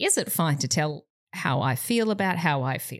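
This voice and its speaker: Speaking at a fairly low pitch with an Australian accent, a woman swings her pitch very widely over a very clean recording with a silent background. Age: 30s. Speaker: comedian podcast co-host. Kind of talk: casual chat.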